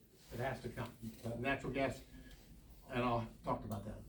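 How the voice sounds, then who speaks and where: Audible room echo and noticeable background noise accompany a man who speaks at a fairly quick pace. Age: 70s. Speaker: oil and gas industry representative. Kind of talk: presentation to a public meeting. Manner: halting, with many fillers.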